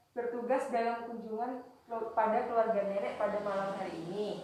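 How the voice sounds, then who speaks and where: A woman's monotone, flat delivery amid audible room echo, with music in the background. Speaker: nursing student. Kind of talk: scripted introduction; role-played nursing assessment interview.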